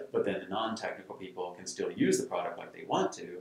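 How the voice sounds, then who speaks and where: A man with an American accent talks at a very fast pace. Audible room echo surrounds his voice. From Texas (San Antonio). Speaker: tech entrepreneur. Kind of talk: interview. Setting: studio. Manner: halting, many fillers.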